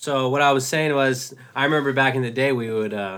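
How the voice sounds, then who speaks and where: A man speaks in a bright, sharp tone with fairly even intonation. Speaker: podcast co-host. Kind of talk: casual chat.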